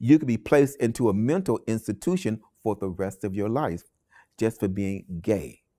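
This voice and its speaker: A man with an unremarkable speaking voice, fairly low in pitch, at a moderate pace, with a dry, close sound, no echo, and a very clean recording over a silent background. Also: lively intonation. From Cleveland, Ohio, US. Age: 60s. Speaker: oral history interviewee. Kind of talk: oral history interview. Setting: public library.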